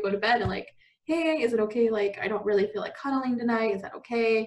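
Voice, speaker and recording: A woman's fairly high pitch with fairly even intonation. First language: not English. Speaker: college student. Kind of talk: casual interview. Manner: casual, heavy use of 'like'.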